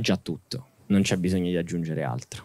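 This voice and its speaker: A man with a very deep, low pitch is heard in dry sound with no echo over a quiet background. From Italy. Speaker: son of a journalist; interviewee, son of journalist. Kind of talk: interview before live audience. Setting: stage with audience. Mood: calm, reflective. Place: garden. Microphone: handheld.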